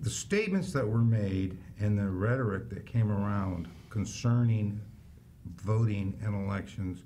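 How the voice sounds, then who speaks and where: A man speaks at a fairly slow pace with a fairly low pitch, a dark, mellow tone and a somewhat breathy voice, his pitch varying in an ordinary way over light background noise. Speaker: county election official. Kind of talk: interview. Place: studio.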